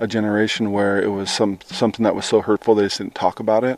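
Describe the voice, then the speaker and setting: The man talks very fast at a fairly low pitch. His intonation is monotone and flat. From Washington, Colville Reservation. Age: young. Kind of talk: interview. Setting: outdoors.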